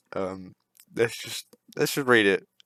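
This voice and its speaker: Speaking at a moderate pace, a man with a fairly low voice shows ordinary pitch variation in a very clean recording with a silent background. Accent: British. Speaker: gaming YouTuber. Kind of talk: gameplay commentary rant.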